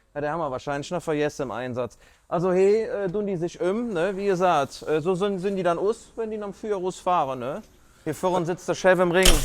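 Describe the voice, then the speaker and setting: Speaking fairly quickly with a Cologne accent, a man uses a high pitch and ordinary pitch variation. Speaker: firefighter. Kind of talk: casual explainer to camera. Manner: jokey, casual.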